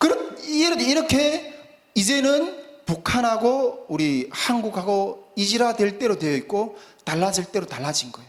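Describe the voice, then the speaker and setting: Amid noticeable background noise and audible room echo, a man with a high pitch talks fairly slowly, his pitch swinging very widely. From North Korea. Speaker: preacher. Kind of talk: sermon. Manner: halting, many fillers.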